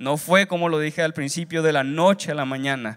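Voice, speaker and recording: The background is quiet. A man talks at a moderate pace with a fairly high pitch. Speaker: seminary student preacher. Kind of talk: sermon delivered as a preaching exam, with Bible reading and exhortation. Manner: earnest, exhortative, preacher's cadence with repetitions and rising urgency. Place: hall. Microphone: handheld.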